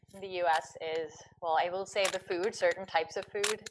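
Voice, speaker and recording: An American accent comes through. The speaker is a woman. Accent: American accent when speaking Dutch. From US. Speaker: vlogger. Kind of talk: panel Q&A. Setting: online live talk.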